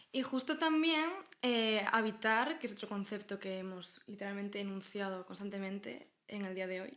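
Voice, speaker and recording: With a Galician accent, a woman talks at a moderate pace, her intonation lively. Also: medium pitch for a woman. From Galicia, Spain. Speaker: podcast co-host. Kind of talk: casual conversational podcast discussion.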